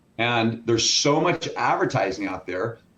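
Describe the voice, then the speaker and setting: A man speaks with lively intonation and audible vocal fry. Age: 60s. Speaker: food scientist and fitness business owner. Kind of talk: interview. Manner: animated.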